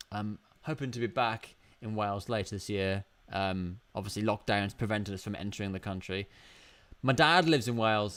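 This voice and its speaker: A man with a British accent talks at a fairly quick pace in a fairly low voice. The recording is very clean, with a silent background. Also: ordinary pitch variation. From UK. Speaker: YouTuber. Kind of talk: casual chat. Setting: livestream from home studio. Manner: halting. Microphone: new mic.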